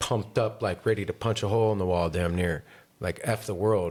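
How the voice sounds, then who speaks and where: A man with an American accent has an ordinary speaking voice, fairly low in pitch, with ordinary pitch variation at a fairly quick pace. The recording is very clean, with a silent background. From northern California, Grass Valley. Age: 40s. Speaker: podcast host. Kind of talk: casual chat.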